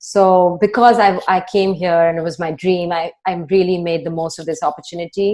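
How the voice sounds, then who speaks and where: A woman speaks at a moderate pace with hardly any pauses, her fairly low pitch and dark, mellow tone carried by fairly even intonation. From India (New Delhi). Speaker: strategy consultant. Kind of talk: interview.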